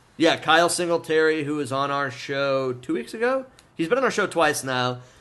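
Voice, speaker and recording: Loud, with a bright, sharp tone, the voice keeps a moderate pace and ordinary pitch variation. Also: man, fairly high pitch for a man. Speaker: podcast host. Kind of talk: casual chat.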